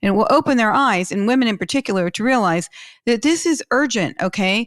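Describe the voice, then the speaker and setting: With an American accent, a woman speaks at a fairly quick pace in a fairly high pitch, her animated tone and lively intonation captured in a very clean recording with a silent background and a dry, close sound free of echo. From Pittsburgh, US. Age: 60s. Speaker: podcast host and wealth manager. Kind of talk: interview podcast.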